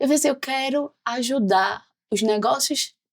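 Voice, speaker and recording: This is a woman speaking. She has a Pernambuco accent. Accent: Pernambuco Brazilian Portuguese. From Pernambuco, Brazil. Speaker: sales executive. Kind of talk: podcast interview.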